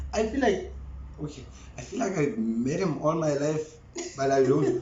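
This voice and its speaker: A fairly high-pitched man with lively intonation is heard through noticeable background noise and audible room echo. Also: moderate pace. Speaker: church drummer. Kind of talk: casual chat.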